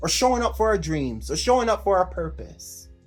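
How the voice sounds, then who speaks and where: Music plays in the background. A man speaks over it at a fairly quick pace. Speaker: life coach. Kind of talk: faith-based motivational talk on a group call. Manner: emphatic, repeats key points.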